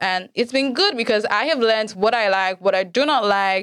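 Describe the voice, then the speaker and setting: A woman speaks in an animated tone at a moderate pace. Her pitch varies in an ordinary way. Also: very clean recording, silent background. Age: 20s. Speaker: podcast host and masters student. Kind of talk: casual solo chat. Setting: studio. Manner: animated, laughing.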